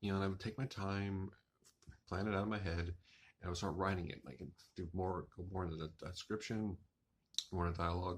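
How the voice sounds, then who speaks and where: Speaking at a very fast pace, a man with a very deep, low pitch sounds somewhat breathy and shows ordinary pitch variation. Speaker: author and writing vlogger. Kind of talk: casual monologue vlog.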